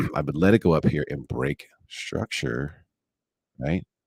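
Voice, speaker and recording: A man with a very deep, low pitch talks in a relaxed tone with vocal fry. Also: dry, close sound with no echo. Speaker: day trader streaming live. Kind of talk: live trading commentary. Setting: live stream. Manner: relaxed, chill.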